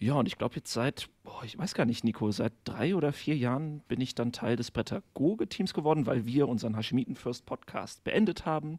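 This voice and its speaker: A man with a normal speaking voice, medium in pitch, at a fairly quick pace with lively intonation and hardly any pauses, in a very clean recording with a silent background and a dry, close sound with no echo. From western Germany, near Koblenz. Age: 30s. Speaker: primary school teacher, podcaster. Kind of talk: casual chat.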